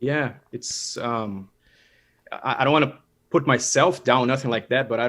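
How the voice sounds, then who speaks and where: A man speaks at medium pitch with a Brazilian Portuguese accent. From Brazil, São Paulo. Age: 30s. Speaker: dentist and materials scientist. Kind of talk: casual interview. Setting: video call.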